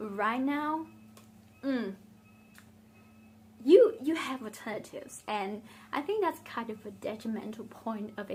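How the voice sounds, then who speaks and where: The speaker is a woman with a Vietnamese accent. She talks at a fairly slow pace. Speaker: beauty vlogger. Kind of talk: casual chat. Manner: conversational, with fillers.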